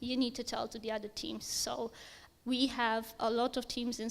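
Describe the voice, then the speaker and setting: Her voice is high-pitched and monotone, with flat intonation. The woman keeps a moderate pace. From Romania. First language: Romanian. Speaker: software engineer. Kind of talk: conference talk.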